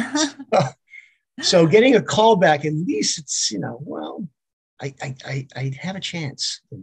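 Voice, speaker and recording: Speaking at a fairly slow pace, a man with a fairly high pitch and vocal fry shows very wide pitch swings and big swings in loudness. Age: 60s. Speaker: actor and retired school teacher. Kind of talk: casual interview. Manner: relaxed, many fillers.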